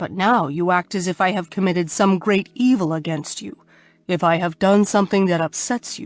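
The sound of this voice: Intonation stays fairly even. Everything comes in an unforced reading voice.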